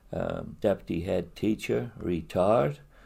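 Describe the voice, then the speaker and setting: Speaking very slowly, a man uses a dark, mellow tone marked by vocal fry. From Hereford area, England (from Eastleigh as a child). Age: 90s. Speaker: retired builder and charity fundraiser. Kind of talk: interview. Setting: his own house. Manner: halting, many fillers.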